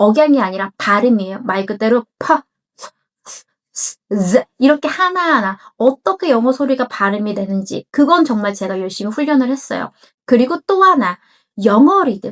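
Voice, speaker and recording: Her high voice swings very widely in pitch as this woman speaks at a moderate pace, the sound dry and close with no echo. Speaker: English coach. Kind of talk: casual talk to camera.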